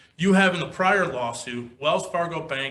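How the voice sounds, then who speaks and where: Room echo can be heard as a man talks at a fairly slow pace. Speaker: attorney. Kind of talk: appellate oral argument. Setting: courtroom. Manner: loud; formal.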